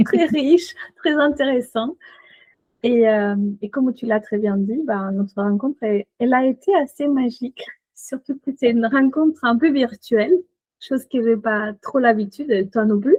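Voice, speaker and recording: With a Chilean accent, the speaker talks at a fairly slow pace in a dark, mellow tone with ordinary pitch variation, the sound dry and close with no echo. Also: woman, high pitch for a woman. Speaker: coach and shaman. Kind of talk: podcast interview. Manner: hesitant, many fillers.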